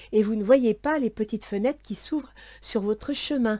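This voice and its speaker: Here a woman has a dark, mellow tone at a fairly high pitch. The recording is very clean, with a silent background. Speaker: tarot and astrology reader. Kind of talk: tarot reading for viewers. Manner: soft, quiet voice.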